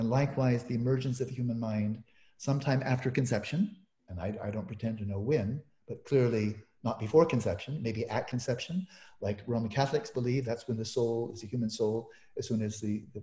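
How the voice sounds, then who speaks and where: The man's tone is dark and mellow, and somewhat breathy. His pitch varies an ordinary amount. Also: medium pitch for a man, fairly quick pace. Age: 70s. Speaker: meditation teacher and scholar. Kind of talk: interview conversation.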